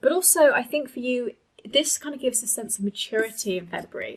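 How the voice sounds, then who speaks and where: Somewhat breathy delivery with lively intonation. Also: woman. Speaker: tarot reader. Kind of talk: tarot reading monologue. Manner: fast; hesitant, many fillers.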